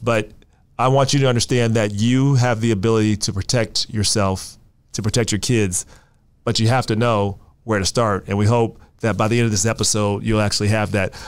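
A man at a fairly quick pace, monotone and flat, his loudness very even. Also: medium pitch for a man. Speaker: podcast host. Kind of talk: interview conversation. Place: studio. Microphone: studio mic.

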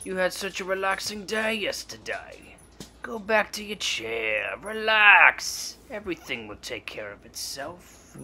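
At a fairly slow pace, a man speaks in a high voice while faint music plays in the background. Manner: soothing, coaxing, persuasive.

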